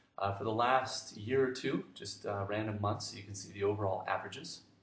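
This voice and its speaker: A man speaks in a medium pitch, with audible room echo around him. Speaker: online business marketer. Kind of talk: sales pitch. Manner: fast.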